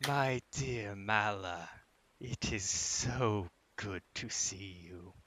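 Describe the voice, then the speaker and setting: A man puts on a character voice, talking at a very slow pace with a fairly low pitch. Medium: actual play. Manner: ringing, otherworldly.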